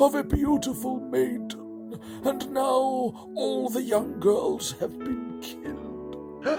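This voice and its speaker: A man puts on a character voice and speaks at a very slow pace. Loud music plays in the background. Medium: comedy sketch.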